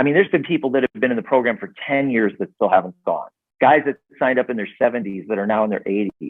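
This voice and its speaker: A man with an American accent and a medium pitch speaks very fast with lively intonation. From US Midwest, south suburbs of Chicago. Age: 60s. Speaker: network marketing entrepreneur and author. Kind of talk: casual interview chat.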